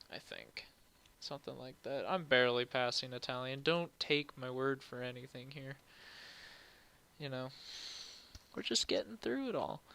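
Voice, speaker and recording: The speech moves at a moderate pace, broken by long, frequent pauses. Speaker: streamer doing 3D modeling. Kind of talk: live stream tutorial. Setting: live stream. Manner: casual, chatty; vocal fry.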